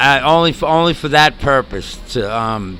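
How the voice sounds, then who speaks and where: There is noticeable background noise as a man speaks with a New York accent. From New York (Bronx, Queens, Long Island). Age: 60s. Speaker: homeless Navy veteran. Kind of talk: interview. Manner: halting.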